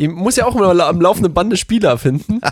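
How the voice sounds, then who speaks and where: On a very clean recording with a silent background, a man with a high pitch talks at a moderate pace with lively intonation. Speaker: podcast co-host. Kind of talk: casual chat.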